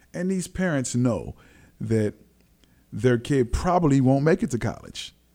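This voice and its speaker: A dark, mellow tone with ordinary pitch variation comes through a very clean recording with a silent background. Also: man. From Los Angeles, US. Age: 40s. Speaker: former basketball player and trainer. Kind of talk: casual interview. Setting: studio.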